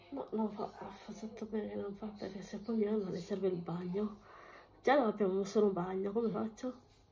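Over noticeable background noise, a woman talks at a fairly quick pace in monotone, flat intonation with big swings in loudness. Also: medium pitch for a woman. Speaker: vlogger. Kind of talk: casual chat vlog while doing housework. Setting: at home, filming herself. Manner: chatty, rambling.

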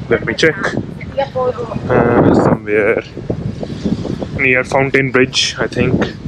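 Loud background noise accompanies a man whose voice has a dry sound with no echo. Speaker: travel vlogger. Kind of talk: casual vlog chat. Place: street. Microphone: phone near.

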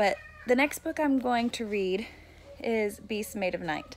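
Over light background noise, a woman talks at a moderate pace with lively intonation and a fairly high pitch. She has an ordinary speaking voice. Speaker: book vlogger. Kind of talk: casual reading vlog to camera. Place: home room. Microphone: phone near.

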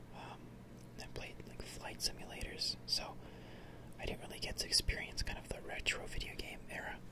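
Whispering at a moderate pace. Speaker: gaming ASMR creator. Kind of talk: casual gameplay commentary. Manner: whispered. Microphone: studio mic.

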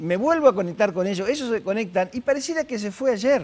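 A man is speaking. His pitch swings very widely. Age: 70s. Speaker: psychologist; guest. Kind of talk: interview. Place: studio. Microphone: lapel.

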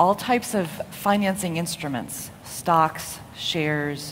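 A woman with an American accent at a fairly slow pace, over light background noise. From United States. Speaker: impact investor; conference panelist. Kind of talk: conference talk. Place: hall. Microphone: podium.

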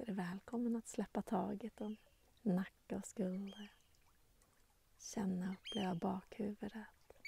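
A soft-spoken woman's dark, mellow, gentle, warm voice, somewhat breathy and fairly even in intonation, with long, frequent pauses, a dry sound with no echo and light background noise. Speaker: meditation guide and nature channel host; meditation guide, nature channel host. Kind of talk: guided meditation. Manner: slow, calm, soothing, with long pauses; gentle, warm, softly inviting. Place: waterside. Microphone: phone near.

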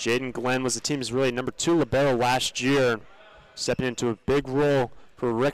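A man speaks at a medium pitch in a flat monotone, with noticeable background noise. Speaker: play-by-play commentator. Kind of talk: live sports commentary.

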